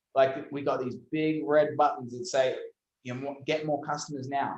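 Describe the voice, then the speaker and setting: A man talks at a fairly quick pace and a fairly high pitch with an Australian accent. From Australia, Brisbane. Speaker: SEO agency owner. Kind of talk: interview. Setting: video call. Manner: animated.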